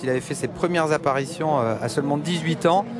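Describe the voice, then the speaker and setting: Over noticeable background noise, a man talks at a fairly quick pace with lively intonation and a fairly high pitch. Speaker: rally expert co-commentator. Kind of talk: live race commentary. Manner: explanatory, knowledgeable.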